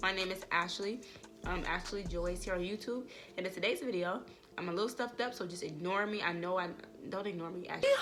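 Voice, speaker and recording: Very fast, animated speech with ordinary pitch variation, audible room echo and music in the background. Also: woman, medium pitch for a woman. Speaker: YouTuber. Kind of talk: vlog talk to camera. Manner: animated, casual.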